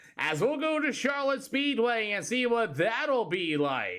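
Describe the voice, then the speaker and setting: Over a quiet background, a man speaks fairly slowly in a raised, projected voice, his pitch extremely high and swinging very widely, with a bright, sharp tone. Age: 30s. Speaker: sim racing streamer. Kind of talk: live stream commentary. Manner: animated.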